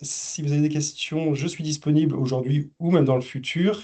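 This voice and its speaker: This man's voice has a dark, mellow tone and fairly high pitch. He keeps a moderate pace with fairly even intonation. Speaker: business software specialist. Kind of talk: webinar presentation. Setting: online webinar. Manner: halting, many fillers and repeats.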